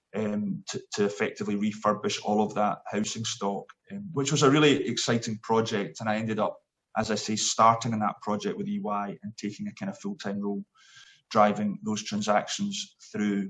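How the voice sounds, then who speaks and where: A man with a Scottish accent at a moderate pace. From Scotland, Glasgow. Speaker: sports event chief executive. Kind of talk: interview. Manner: hesitant, many fillers.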